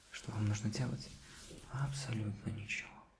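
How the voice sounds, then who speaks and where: Whispering and soft-spoken, a man talks at a fairly slow pace over noticeable background noise. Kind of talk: soft-spoken ASMR role-play. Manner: soft ASMR whisper, close and intimate.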